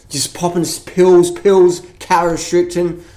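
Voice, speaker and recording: Clearly audible noise sits behind speech delivered at a moderate pace. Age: 30s. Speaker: fitness and diet vlogger. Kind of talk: casual vlog monologue. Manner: animated.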